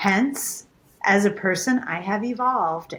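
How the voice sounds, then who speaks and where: A somewhat breathy woman at medium pitch, with ordinary pitch variation and a fairly slow pace. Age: 60s. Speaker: podcast co-host. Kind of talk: casual chat.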